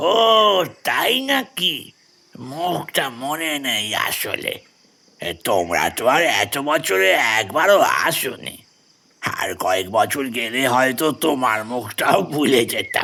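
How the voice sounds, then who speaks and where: Putting on a character voice, a man speaks very slowly in a fairly high pitch with very wide pitch swings. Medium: audio drama. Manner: humble, deferential.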